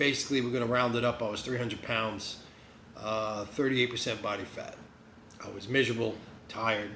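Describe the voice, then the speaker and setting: Amid noticeable background noise and audible room echo, a man with a New Jersey accent speaks fairly quickly in a monotone, flat way, with long, frequent pauses. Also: medium pitch for a man. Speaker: vlogger. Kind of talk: casual vlog. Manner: rambling, halting with fillers.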